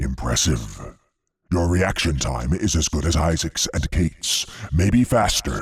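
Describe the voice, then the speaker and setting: A man's put-on character voice, very deep and low in pitch, at a fairly slow pace with very even loudness and lively intonation. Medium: read story. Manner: playful, taunting.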